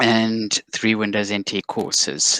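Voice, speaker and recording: A man with a South African accent, fairly low in pitch, bright and sharp in tone, with monotone, flat intonation and a dry, close sound with no echo. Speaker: cybersecurity executive. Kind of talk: interview.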